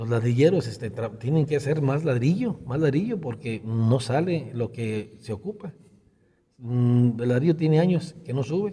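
A man's somewhat breathy, medium-pitched voice, dark and mellow in tone, at a fairly slow pace with lively intonation. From Jalisco, Mexico (rural Acatic). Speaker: local politician and rancher. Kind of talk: interview. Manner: halting.

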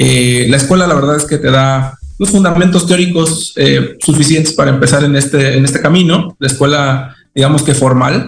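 At a moderate pace, a somewhat breathy voice speaks with fairly even intonation amid audible room echo. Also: man. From Mexico, Veracruz. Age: 30s. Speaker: technology executive. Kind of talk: radio interview. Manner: halting, many fillers and repetitions.

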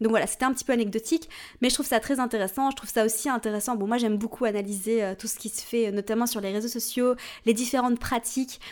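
Captured on a very clean recording with a silent background, a woman talks at a very fast pace, her pitch fairly high and her intonation fairly even. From Switzerland. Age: 30s. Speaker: astrology podcast host. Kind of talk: solo podcast talk. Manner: casual, chatty with fillers.

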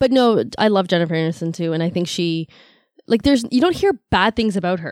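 A very fast speaker with a Canadian accent and ordinary pitch variation. The recording is very clean with a silent background, and the sound is dry and close with no echo. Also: woman. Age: 40s. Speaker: massage therapist. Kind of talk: casual chat. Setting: studio.

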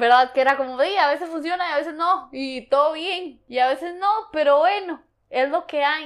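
In a very clean recording with a silent background, a woman with a high pitch talks at a moderate pace with ordinary pitch variation. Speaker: coaching program participant. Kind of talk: interview.

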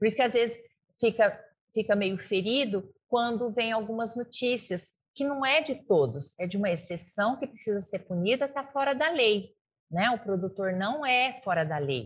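Against a quiet background, a woman talks at a moderate pace with a fairly high pitch. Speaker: veterinarian, rural producer and radio host. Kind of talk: interview. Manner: fluent, hesitant fillers.

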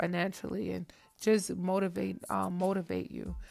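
With music playing in the background, a woman speaks. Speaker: podcast host. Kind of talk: casual chat. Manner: animated.

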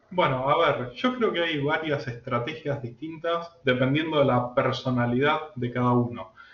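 Here is a man with a plain, everyday voice, pitched fairly high. He goes at a fairly slow pace with ordinary pitch variation. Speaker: AI and algorithmic trading expert. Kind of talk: interview.

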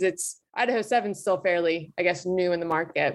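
A woman with a plain, everyday voice speaks at a fairly low pitch, with ordinary pitch variation. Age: 20s. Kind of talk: interview. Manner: casual with many fillers.

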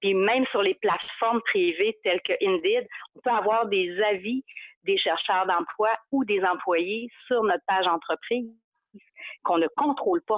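Speaking at a fairly slow pace with a Saguenay accent, a woman keeps a medium pitch, ordinary pitch variation and very even loudness. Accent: Saguenay Quebec French. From Quebec, Saguenay (Chicoutimi). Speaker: social media marketing consultant. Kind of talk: interview.

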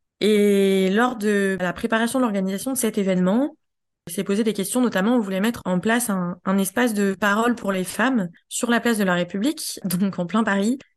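Against a quiet background, a woman speaks at a medium pitch and moderate pace, with very even loudness and fairly even intonation. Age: 30s. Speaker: feminist activist. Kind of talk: testimony. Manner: halting.

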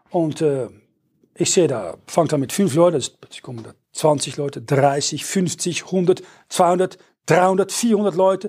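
In a Dutch accent, a man speaks at a fairly high pitch with ordinary pitch variation. The recording is very clean with a silent background. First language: Dutch (speaking German). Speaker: preacher. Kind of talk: sermon. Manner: halting.

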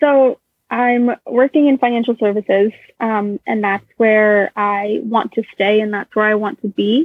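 A woman talks at a fairly slow pace in a fairly high voice. Her intonation stays fairly even. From Florida, US (early childhood in Boston). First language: Russian. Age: 20s. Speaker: financial services professional. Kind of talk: interview.

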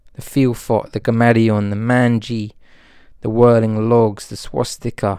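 A man's relaxed, dark, mellow voice at medium pitch and a fairly slow pace, monotone and flat in intonation, with big swings in loudness. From Britain. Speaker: spiritual podcast host and author. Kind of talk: casual spiritual monologue. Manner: relaxed, meandering, many fillers.

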